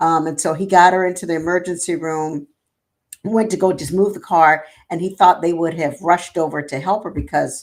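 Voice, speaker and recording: A woman with an American accent and an ordinary speaking voice talks at a moderate pace, with a fairly low pitch and fairly even intonation. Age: 60s. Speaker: nonprofit executive. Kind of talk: interview.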